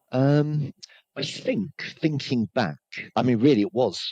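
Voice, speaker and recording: With vocal fry, a man speaks in a dry, close recording with no echo. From Hertfordshire, England. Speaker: sales trainer. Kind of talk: podcast interview.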